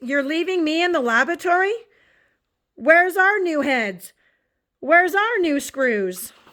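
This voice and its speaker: A woman uses a put-on character voice at an extremely high pitch and a moderate pace. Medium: read story.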